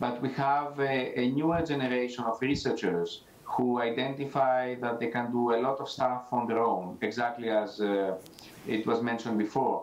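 With fairly even intonation and a moderate pace, a man talks as audible room echo fills the space. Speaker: entrepreneurship center director; remote panelist. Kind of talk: panel discussion. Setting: video call. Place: office. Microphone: new microphone with audio issues; video call.

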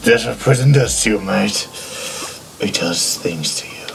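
Over clear background noise, a man puts on a character voice with a fairly low pitch at a moderate pace. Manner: gruff, world-weary.

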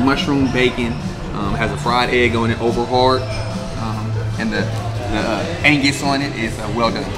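Clear music plays in the background as a man speaks. His pace is fairly slow, with ordinary pitch variation. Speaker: guest. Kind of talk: interview answer. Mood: relaxed, friendly. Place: bar.

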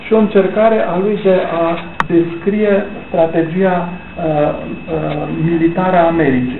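A man talks with a high pitch and fairly even intonation. Noticeable background noise sits behind him. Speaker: author. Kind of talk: book launch talk. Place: hall. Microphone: camera far.

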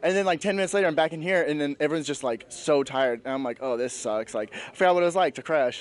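Speaking at a very fast pace with hardly any pauses, a man with a fairly high pitch makes very wide pitch swings in a dry sound with no echo over light background noise. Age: 20s. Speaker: bodybuilding competitor. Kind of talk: post-competition interview. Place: hall. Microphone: handheld.

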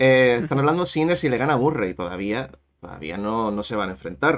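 A man speaks moderately fast in a normal speaking voice, with lively intonation. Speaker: tennis youtuber. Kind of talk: live-stream tennis chat.

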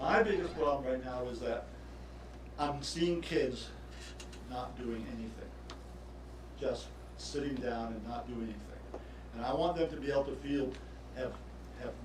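Moderate-paced speech from a man amid noticeable background noise, the room echo audible. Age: 70s. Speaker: tennis coach. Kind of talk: public comment at council meeting. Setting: city council meeting. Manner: halting.

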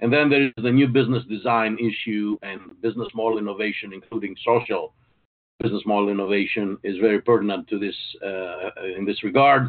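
Fairly even intonation marks a man's very fast delivery. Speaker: webinar presenter. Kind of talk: lecture. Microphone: video call.

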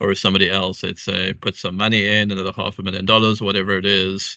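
This man speaks fairly quickly in a flat monotone, his fairly low voice bright and sharp, the sound dry with no echo over a quiet background. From South Africa. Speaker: blockchain startup founder. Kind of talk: interview. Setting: video call. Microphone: video call.

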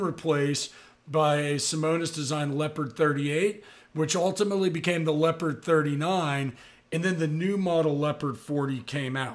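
At a moderate pace, a man with an American accent speaks at a fairly high pitch with ordinary pitch variation. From US South, Tampa, Florida. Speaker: yacht broker and YouTuber. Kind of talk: casual talking-head video. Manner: casual, frequent filler words. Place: home room. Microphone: studio mic.

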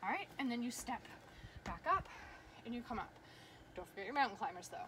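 There is noticeable background noise. Through it, a woman talks at a high pitch. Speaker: fitness instructor. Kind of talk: workout class instruction. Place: garden. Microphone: camera far.

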